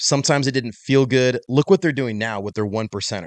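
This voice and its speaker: A man's unremarkable speaking voice at medium pitch, with ordinary pitch variation. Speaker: fitness industry entrepreneur and coach. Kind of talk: casual interview.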